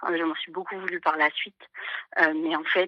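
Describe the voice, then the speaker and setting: A woman's shaky voice carries a bright, sharp tone at a fairly quick pace. The sound is dry and close, without echo. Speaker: caller. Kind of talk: personal testimony on live call-in. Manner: halting, many hesitations; trembling voice.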